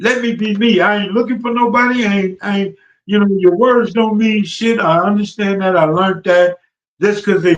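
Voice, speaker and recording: This man's pitch sits high. He talks at a moderate pace. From Los Angeles / Compton. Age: 60s. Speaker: former gang member and music industry enforcer. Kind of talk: podcast interview. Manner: repetitive stammering on words.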